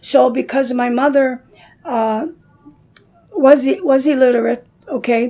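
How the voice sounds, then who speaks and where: Noticeable background noise behind a woman's high-pitched voice with fairly even intonation. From Dearborn, Michigan, US. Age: 70s. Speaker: community elder. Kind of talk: casual chat. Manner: hesitant, with many fillers.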